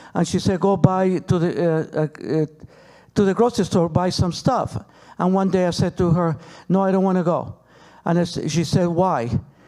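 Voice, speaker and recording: With a Peruvian accent, a man speaks in a dark, mellow tone at a high pitch, with ordinary pitch variation and a moderate pace, on a very clean recording with a silent background. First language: Spanish. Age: 60s. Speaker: relative of a hostage. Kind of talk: panel talk. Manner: halting.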